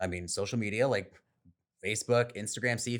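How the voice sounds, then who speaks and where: With an American accent, a man speaks at medium pitch in a bright, sharp tone and fairly even intonation, on a very clean recording with a silent background. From San Diego, California. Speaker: real estate agent. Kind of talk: podcast interview.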